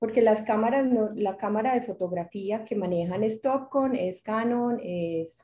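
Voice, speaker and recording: Somewhat breathy and dark, mellow in tone, a woman speaks at a fairly high pitch with lively intonation and a Medellín accent. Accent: Medellín (paisa). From Medellín, Colombia. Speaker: retina specialist, lecturer. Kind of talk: lecture.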